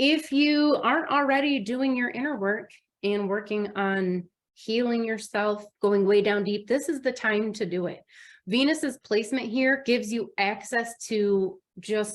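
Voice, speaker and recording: At a fairly slow pace, a woman with a Midwestern US accent speaks at a fairly high pitch with ordinary pitch variation, in a very clean recording with a silent background. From US Midwest. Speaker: astrologer. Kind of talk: astrology forecast monologue. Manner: casual, conversational.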